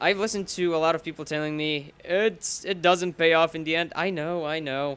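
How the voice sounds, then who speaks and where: A man with a Bulgarian accent and a high pitch, bright, sharp tone, ordinary pitch variation, and moderate pace, in a very clean recording against a silent background. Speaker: gaming commentator. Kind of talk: live gameplay commentary. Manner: casual, rambling with fillers.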